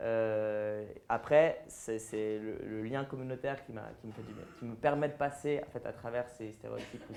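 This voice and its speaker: A man talks at a medium pitch in a plain, everyday voice. His intonation is fairly even, though his loudness swings a lot. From French-speaking Switzerland, near Lausanne. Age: 20s. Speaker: transgender activist and influencer. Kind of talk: public interview with audience Q&A.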